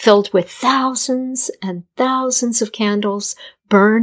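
In a quiet background, the speaker uses an unforced reading voice.

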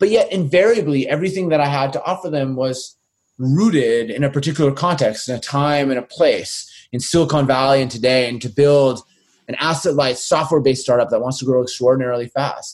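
With ordinary pitch variation, the talking proceeds at a fairly quick pace. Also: man. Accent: Canadian. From Winnipeg, Canada. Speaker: venture investor and author. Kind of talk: interview.

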